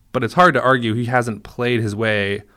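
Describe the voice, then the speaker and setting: A man with an American accent speaks at a fairly quick pace in a bright, sharp tone with ordinary pitch variation. The recording is very clean, with a silent background. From Minnesota. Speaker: sports podcast co-host, newspaper reporter. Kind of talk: casual chat. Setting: studio.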